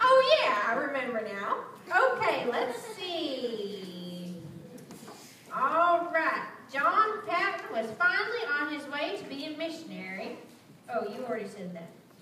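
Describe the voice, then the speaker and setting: Using a raised, projected voice, a woman speaks at a fairly slow pace with big swings in loudness, with audible room echo and light background noise. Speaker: storyteller for a youth group. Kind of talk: storytelling to children. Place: church. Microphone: camera far.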